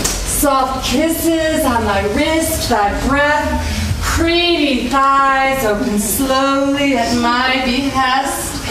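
A woman with a high voice speaks very slowly, with noticeable background noise and audible room echo. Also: ordinary pitch variation. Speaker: stage actor. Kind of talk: theatrical monologue and rhymed verse. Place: stage. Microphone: camera far.

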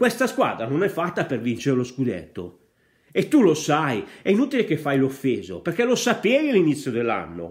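The voice has vocal fry and very wide pitch swings. The background is quiet. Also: man, fairly high pitch for a man, moderate pace. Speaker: Inter fan vlogger. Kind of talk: angry football rant. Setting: home video monologue. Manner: passionate, scolding, emphatic; direct, addresses coach and fans. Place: home room. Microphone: earbuds.

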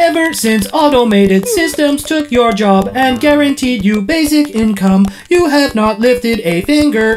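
A female-sounding, put-on character voice speaks high at a moderate pace, with hardly any pauses. Clear background noise runs underneath. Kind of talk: comic sketch acting. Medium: comedy sketch. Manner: prim, scolding, matter-of-fact.

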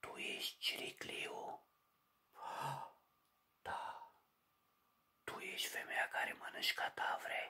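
A man is whispering. His pace is very slow. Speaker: horror storyteller. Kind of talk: storytelling narration. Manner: whispered dialogue inside a ghost story. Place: home room. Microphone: phone near.

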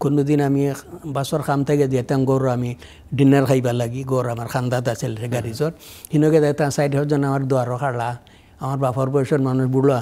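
A man's fairly high voice, dark and mellow in tone, in a monotone with flat intonation. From Sylhet, Bangladesh (Biswanath); Sylhet, Bangladesh. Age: 80s+. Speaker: community elder and social worker; guest. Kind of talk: interview, life story. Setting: studio. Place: studio. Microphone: lapel.

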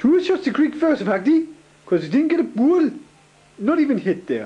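The speaker talks at a moderate pace with very wide pitch swings. Noticeable background noise runs underneath. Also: man. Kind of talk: casual banter and sports commentary. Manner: rambling, informal, halting.

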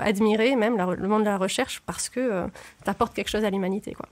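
Using an ordinary speaking voice, a woman with a fairly high pitch talks at a fairly quick pace with fairly even intonation. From southern France. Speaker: former researcher. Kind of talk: interview. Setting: studio.

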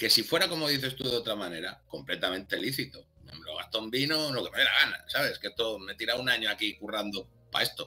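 A man talking very fast with lively intonation. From Spain, Barcelona; Catalonia, Spain. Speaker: documentary channel creator; interview guest. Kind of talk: casual interview chat. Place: home room. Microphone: webcam.

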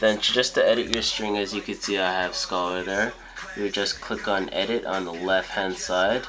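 Over noticeable background noise, a man speaks in a fairly low, monotone, flat voice. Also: moderate pace. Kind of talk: tutorial. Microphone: phone near.

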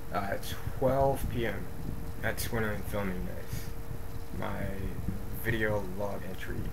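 A man speaks at a very slow pace with long, frequent pauses over loud background noise. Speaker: video diarist. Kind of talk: video diary, reading notes to camera. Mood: irritated, dismissive. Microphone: webcam.

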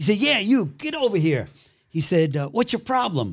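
Very wide pitch swings mark this man's speech in a Brooklyn accent. The recording is very clean, with a silent background. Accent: New York (Brooklyn). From Brooklyn, New York. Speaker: actor. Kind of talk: testimony. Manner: animated.

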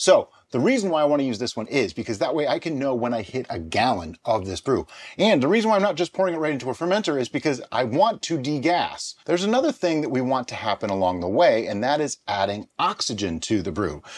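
Vocal fry runs through this man's very fast speech with hardly any pauses. His pitch swings very widely. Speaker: home brewer host. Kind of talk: tutorial. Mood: cheerful, joking. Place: home room.

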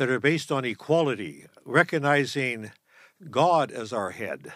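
Vocal fry runs through a man's fairly slow speech. The sound is dry with no echo against a quiet background. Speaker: show host. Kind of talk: interview talk. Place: studio. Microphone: studio mic.

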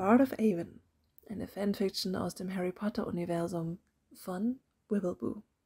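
A woman's medium-pitched voice has a dark, mellow tone and comes across somewhat breathy. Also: very clean recording, silent background. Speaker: audiobook narrator. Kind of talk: casual intro to listeners.

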